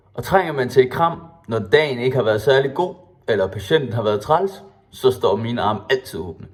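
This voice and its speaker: Over background music, a man with a cheerful tone and medium pitch speaks at a moderate pace with lively intonation. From Denmark, Skanderborg (East Jutland). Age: 20s. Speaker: student applying for a student committee. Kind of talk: self-presentation video.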